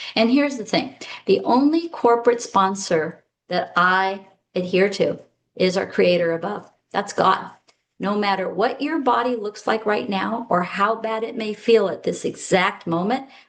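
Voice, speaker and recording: Moderate pace and ordinary pitch variation in an ordinary speaking voice. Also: woman, medium pitch for a woman. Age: 60s. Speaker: health strategist; former eye doctor. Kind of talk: casual talk to camera.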